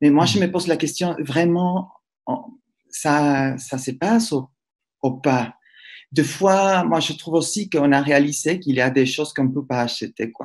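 A man's fairly high voice at a fairly slow pace, with ordinary pitch variation, long, frequent pauses and a quiet background. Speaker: professor, moderator. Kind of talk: interview. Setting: video call. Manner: halting.

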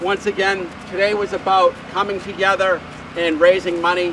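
A man speaks at a moderate pace with a high pitch and little pitch movement. Background noise is clearly audible.

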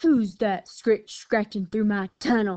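Over a quiet background, a woman does a growling, put-on character voice at a medium pitch and a fairly slow pace.

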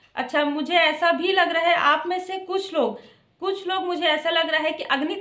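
A woman's extremely high-pitched voice, bright and sharp in tone, at a fairly slow pace, with a quiet background and audible room echo. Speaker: tarot card reader. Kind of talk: tarot reading monologue. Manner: varying pitch, sometimes high, sometimes soft. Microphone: phone near.

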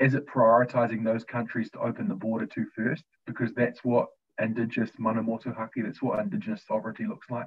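A man speaks with a New Zealand accent. His pace is very fast. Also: fairly even intonation. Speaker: youth leadership co-founder; panelist. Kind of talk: opening prayer and talk. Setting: video call. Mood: warm, smiling. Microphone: video call.

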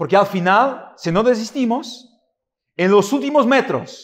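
A man's speech moves along at a fairly slow pace. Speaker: preacher. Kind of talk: sermon. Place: church. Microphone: podium.

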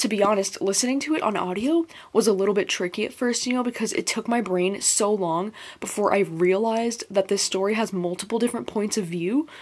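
A woman at medium pitch, with a slightly mellow tone, a fairly quick pace, few pauses and ordinary pitch variation.

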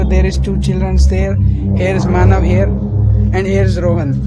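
Loud music sits in the background of this dry recording with no echo. The speech moves at a moderate pace. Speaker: vlogger. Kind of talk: casual vlog chat. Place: street. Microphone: phone near.

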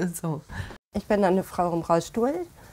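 Over faint background music, a woman talks fairly slowly with fairly even intonation and a fairly low pitch. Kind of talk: interview answer. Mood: reflective, candid. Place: home room.

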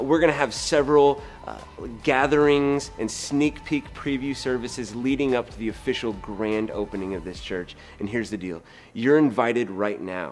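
At a moderate pace, a man talks with ordinary pitch variation while faint music plays in the background. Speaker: pastor. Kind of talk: promotional invitation to camera.

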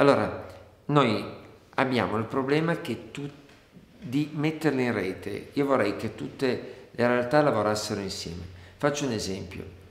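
A man talks at a fairly slow pace with long, frequent pauses. There is audible room echo. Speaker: candidate. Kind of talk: interview answer. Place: office.

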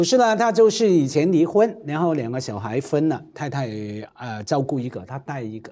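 Pitched fairly high, a man's voice moves through very wide pitch swings. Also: quiet background. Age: 50s. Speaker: talk show guest. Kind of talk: casual chat. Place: studio. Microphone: lapel.

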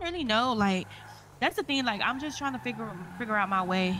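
A woman speaks over noticeable background noise. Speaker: game roleplayer. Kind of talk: in-character game roleplay chat. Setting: online game voice chat.

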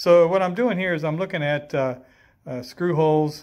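Over a quiet background, a man talks at a fairly quick pace. His pitch is high, with ordinary pitch variation. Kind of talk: tutorial. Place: garage. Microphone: phone near.

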